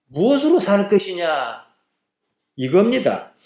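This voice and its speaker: The man's intonation is lively. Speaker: pastor, preacher. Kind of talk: sermon.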